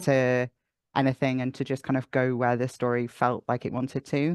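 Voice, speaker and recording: Moderate-paced, medium-pitched male speech in a Welsh accent, monotone and flat, dry and close with no echo, over a quiet background. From North Wales. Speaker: audio drama writer and sound designer. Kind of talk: interview answer.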